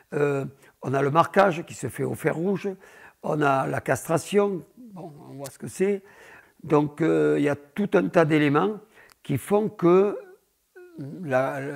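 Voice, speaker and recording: Speaking at a very slow pace with long, frequent pauses, a man uses a fairly high pitch, ordinary pitch variation, and big swings in loudness. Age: 70s. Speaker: bull breeder. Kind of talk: interview.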